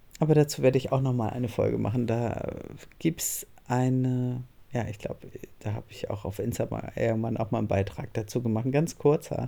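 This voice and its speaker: A woman speaks in a very deep, low voice with a dark, mellow tone and some vocal fry. Her pitch varies in an ordinary way. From northern Germany. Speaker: podcast host and coach. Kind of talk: solo podcast monologue.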